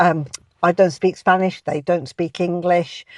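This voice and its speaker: A woman speaks with a British accent. The sound is dry and close with no echo, over a quiet background. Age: 60s. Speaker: vlogger. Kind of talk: personal vlog storytelling. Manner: hesitant, many filler ums.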